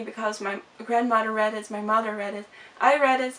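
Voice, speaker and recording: A woman with a fairly high pitch talks at a very fast pace amid noticeable background noise. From Netherlands. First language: Dutch. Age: 20s. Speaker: vlogger. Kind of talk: casual chat. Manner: halting.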